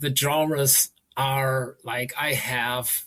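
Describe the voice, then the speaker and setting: A man is speaking. He has a German accent. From Germany. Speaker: novelist. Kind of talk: interview. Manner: halting.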